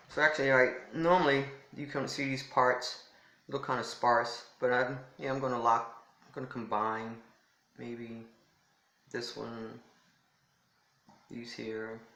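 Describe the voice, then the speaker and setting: Amid audible room echo, a man with a medium-pitched, bright and sharp voice speaks fairly slowly with fairly even intonation, long, frequent pauses and big swings in loudness. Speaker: lifestyle vlogger. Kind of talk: casual vlog talk. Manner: toned down, subdued here.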